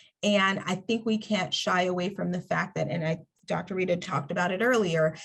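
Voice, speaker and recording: Somewhat breathy, a woman talks at a moderate pace and medium pitch with fairly even intonation. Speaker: workshop presenter on mentorship. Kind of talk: webinar presentation. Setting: online webinar.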